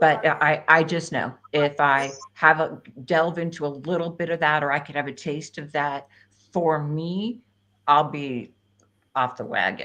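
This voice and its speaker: A woman with an American accent speaks at a very deep, low pitch in a bright, sharp tone. Her pace is fairly slow and her intonation fairly even. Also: quiet background. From New Jersey. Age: 60s. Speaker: health coach and livestream host. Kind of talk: casual chat. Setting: livestream video call.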